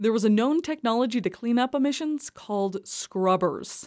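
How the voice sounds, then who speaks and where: At a moderate pace, a woman with an unremarkable speaking voice uses lively intonation on a very clean recording with a silent background. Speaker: energy reporter. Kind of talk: narrated radio documentary.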